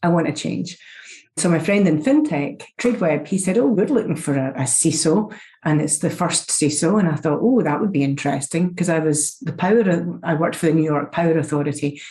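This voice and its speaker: A woman with a Scottish accent talks at a fairly quick pace in a very deep, low voice with ordinary pitch variation. Noticeable background noise is present. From Scotland. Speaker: security executive. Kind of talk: podcast interview.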